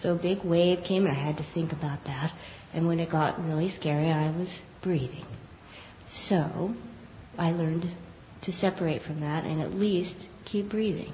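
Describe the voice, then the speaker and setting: A fairly low-pitched woman at a moderate pace, with fairly even intonation, long, frequent pauses and noticeable background noise. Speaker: class participant. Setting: live class, speaking into a mic.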